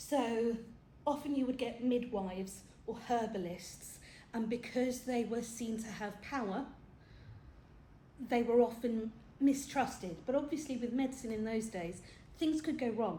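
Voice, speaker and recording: A woman with a British accent talks at a fairly slow pace in a fairly high pitch, with long, frequent pauses and audible room echo. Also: ordinary pitch variation. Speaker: film talk presenter. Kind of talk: lecture. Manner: animated.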